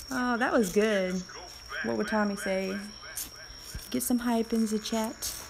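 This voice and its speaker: A woman's fairly high voice with ordinary pitch variation and long, frequent pauses, over music in the background. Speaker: game streamer. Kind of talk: live gameplay commentary. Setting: live stream.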